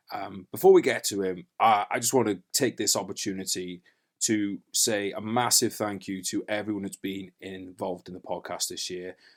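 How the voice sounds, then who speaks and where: A man with a normal speaking voice at fairly low pitch, moderate pace and fairly even intonation, in a very clean recording with a silent background. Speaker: podcast host, army veteran. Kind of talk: podcast introduction. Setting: recorded in a wardrobe.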